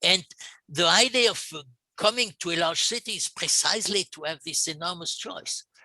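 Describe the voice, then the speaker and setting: In a dry, close sound with no echo, a man with a French accent speaks at a high pitch, with big swings in loudness. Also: ordinary pitch variation, moderate pace. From France. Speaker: urban planning expert, panelist. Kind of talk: panel discussion. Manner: halting, many repetitions.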